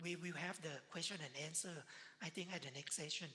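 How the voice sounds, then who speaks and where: Her voice is very deep and low for a woman, bright and sharp in tone, delivered fairly quickly in a monotone, flat intonation. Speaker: physician speaker. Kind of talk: lecture. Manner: fast.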